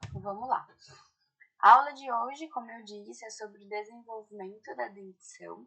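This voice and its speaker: A woman's voice with big swings in loudness and ordinary pitch variation. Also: fairly high pitch for a woman. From Brazil, Ribeirão Preto (São Paulo state). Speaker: orthodontics lecturer. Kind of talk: online lecture. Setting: video call. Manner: slow and deliberate.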